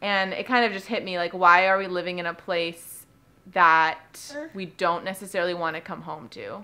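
A woman's bright, sharp tone with an American accent and fairly even intonation. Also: moderate pace, big swings in loudness. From Southern California. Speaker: lifestyle vlogger. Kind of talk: casual vlog monologue. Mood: reflective, calm.

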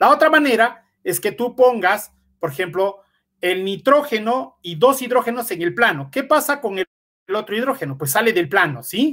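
A bright, sharp tone moves at a moderate pace through very wide pitch swings. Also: man, high pitch for a man. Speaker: computational chemist, researcher. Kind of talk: lecture; Q&A answers. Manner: hesitant, many fillers.

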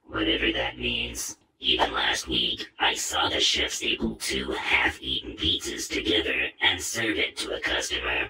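Raspy and cartoonish, this character voice moves at a moderate pace with hardly any pauses. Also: man. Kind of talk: cartoon voice acting. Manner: deadpan, dry, sarcastic.

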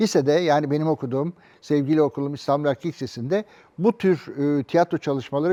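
The man talks at a fairly quick pace with a fairly high pitch and a dark, mellow tone, the sound dry and close with no echo against a quiet background. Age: 70s. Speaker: theatre director and actor. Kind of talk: interview monologue.

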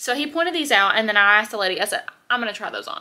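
A woman at a very fast pace. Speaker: haul vlogger. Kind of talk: casual vlog chat. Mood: chatty, upbeat. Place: home room. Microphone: phone near.

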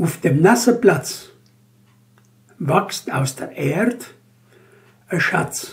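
Speaking very slowly, a man uses a high-pitched voice. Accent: Banat Swabian. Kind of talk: poetry reading.

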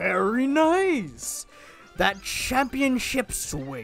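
Over clear music in the background, a put-on character voice at a fairly high pitch moves at a very slow pace.

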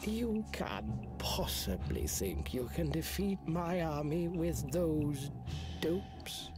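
With loud music in the background, a man does a put-on character voice at a very slow pace. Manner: mocking, smug.

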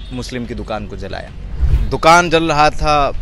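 A man speaks with ordinary pitch variation in a dry sound with no echo, while faint music plays in the background. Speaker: journalist interviewee. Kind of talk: interview answer. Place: street. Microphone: headset.

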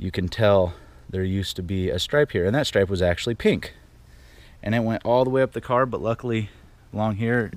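A man with a normal speaking voice talks at a fairly quick pace with ordinary pitch variation in a dry sound with no echo. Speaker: car enthusiast vlogger. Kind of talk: casual vlog chat. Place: street. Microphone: phone near.

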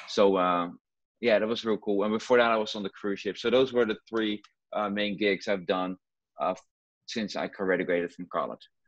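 Against a quiet background with a dry sound and no echo, a man speaks at a moderate pace in a fairly low pitch with fairly even intonation. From Netherlands (Rotterdam). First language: Dutch. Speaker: juggler. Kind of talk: interview. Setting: video call. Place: home room. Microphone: earbuds.

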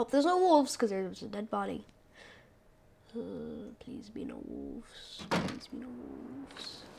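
A woman speaks at a fairly slow pace with big swings in loudness. Noticeable background noise runs underneath. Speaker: gaming YouTuber. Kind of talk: let's play gameplay commentary. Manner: rambling, hesitant with fillers; excitable, panicky outbursts.

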